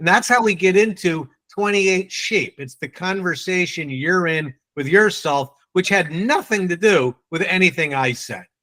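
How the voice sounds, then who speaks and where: Animated and moderate in pace, the voice has a bright, sharp tone, ordinary pitch variation and a New England accent. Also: man, high pitch for a man. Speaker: sales trainer. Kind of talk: training session.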